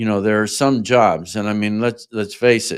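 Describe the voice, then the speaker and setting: Just a man's voice, on a very clean recording with a silent background. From Australia. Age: 60s. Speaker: reptile breeder. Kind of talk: podcast interview.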